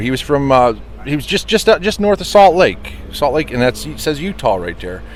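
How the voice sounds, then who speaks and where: Moderate-paced male speech with noticeable background noise behind it. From Pennsylvania, US. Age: 40s. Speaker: truck restoration shop owner, former long-haul trucker. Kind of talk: casual interview.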